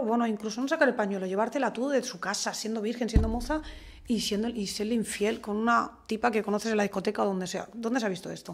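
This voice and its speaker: The woman's pitch varies in an ordinary way as she talks very fast. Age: 40s. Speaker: community association president; podcast guest. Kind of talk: interview conversation. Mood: earnest, indignant. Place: studio.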